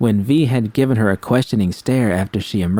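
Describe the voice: The voice is plain reading aloud. Its pitch varies an ordinary amount.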